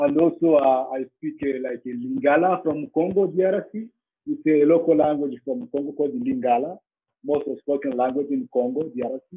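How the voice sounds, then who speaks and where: A man speaks at a moderate pace with a Rwandan accent. His fairly high voice has lively intonation. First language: Kinyarwanda. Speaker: safari tour operator. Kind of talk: interview. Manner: halting.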